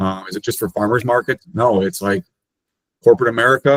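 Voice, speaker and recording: A man at a very fast pace, ordinary pitch variation, in a dry, close sound with no echo. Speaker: payment processing sales rep. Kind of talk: webinar presentation.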